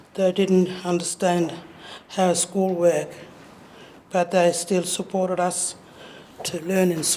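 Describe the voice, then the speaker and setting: A woman speaks at a medium pitch and a fairly slow pace. Room echo is audible. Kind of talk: lecture. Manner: halting.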